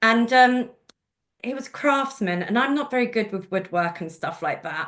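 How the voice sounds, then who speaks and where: This woman's voice sits fairly high and has lively intonation. She talks at a moderate pace. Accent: London. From London, England. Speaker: genealogist and presenter. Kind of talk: webinar presentation. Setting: video call.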